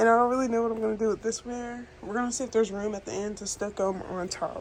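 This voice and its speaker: A woman whispers over noticeable background noise. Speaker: lifestyle vlogger. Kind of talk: get ready with me vlog. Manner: whispering; casual.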